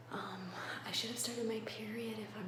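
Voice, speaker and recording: A woman whispers amid audible room echo and noticeable background noise. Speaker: vlogger. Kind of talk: personal vlog. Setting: bathroom. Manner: whispering.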